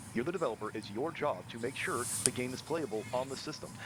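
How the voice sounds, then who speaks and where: Over noticeable background noise, a man speaks fairly quickly at medium pitch with lively intonation. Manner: constipated-sounding.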